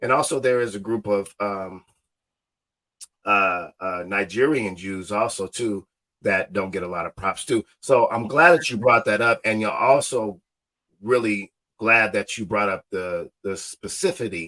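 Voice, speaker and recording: In a dry, close sound with no echo, a man with an Ohio accent talks fairly slowly in a fairly low, animated voice with ordinary pitch variation. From Ohio, born Cleveland, raised Cincinnati. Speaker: podcast host and educator. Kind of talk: casual interview chat.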